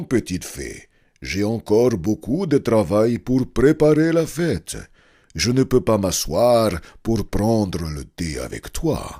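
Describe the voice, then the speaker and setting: A put-on character voice at a fairly slow pace. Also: man, medium pitch for a man. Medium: read story. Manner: gentle and kind.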